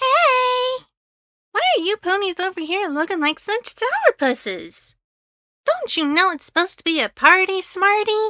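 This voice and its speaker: Putting on a character voice, a woman speaks in an extremely high, squeaky pitch with a bubbly, energetic tone at a moderate pace. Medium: read story.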